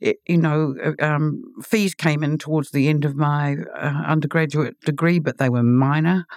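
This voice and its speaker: With a New Zealand accent, the speaker talks at a moderate pace with hardly any pauses, very even loudness and fairly even intonation, in a very clean recording with a silent background and a dry, close sound with no echo. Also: woman, very deep, low pitch for a woman. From New Zealand, Auckland. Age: 60s. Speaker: novelist and literary critic. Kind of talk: interview. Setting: studio.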